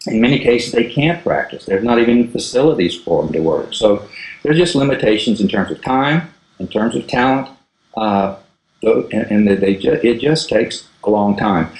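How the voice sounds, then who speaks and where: With an ordinary speaking voice, a man talks at a moderate pace, medium in pitch and lively in intonation. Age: 60s. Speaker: golf instructor. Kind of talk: interview.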